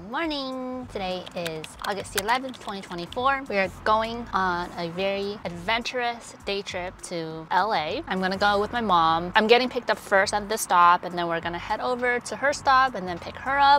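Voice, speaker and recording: A woman's lively intonation at a moderate pace with hardly any pauses, in a dry sound with no echo and light background noise. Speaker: travel vlogger. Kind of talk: casual vlog chat. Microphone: lapel.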